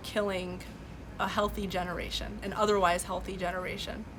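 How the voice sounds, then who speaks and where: With a Californian accent and a medium-pitched voice, a woman speaks in monotone, flat intonation amid audible room echo. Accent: American, Californian. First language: Farsi. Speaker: livestream host. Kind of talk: live stream commentary. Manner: many fillers and restarts.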